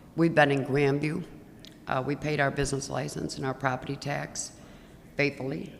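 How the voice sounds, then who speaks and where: Over noticeable background noise and audible room echo, a woman with a very deep, low pitch speaks at a fairly slow pace. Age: 60s. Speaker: auto repair shop owner, public commenter. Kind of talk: public comment at council meeting.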